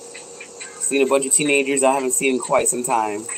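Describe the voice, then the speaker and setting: Music plays behind a woman as she talks. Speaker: waist bead maker. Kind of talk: casual livestream chat while crafting. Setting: craft shop. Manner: fast; animated.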